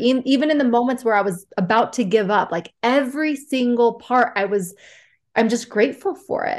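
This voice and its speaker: A woman has an ordinary speaking voice with a fairly high pitch. She keeps a moderate pace and ordinary pitch variation. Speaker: podcast host. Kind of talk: casual interview chat. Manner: warm, upbeat.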